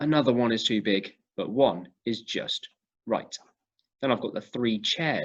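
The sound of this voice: The speaker uses an unforced reading voice with ordinary pitch variation. The background is quiet.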